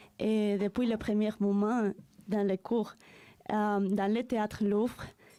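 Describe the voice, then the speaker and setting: A woman speaks very slowly in a Spanish accent, at a fairly high pitch with a dark, mellow tone. Her intonation is monotone and flat, and her loudness stays very even. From Spain, Madrid. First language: Spanish (speaking French). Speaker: French language learner. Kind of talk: reading aloud.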